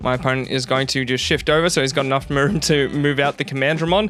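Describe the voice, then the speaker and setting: Music plays underneath while the words come out at a very fast pace. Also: man. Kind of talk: card game match commentary.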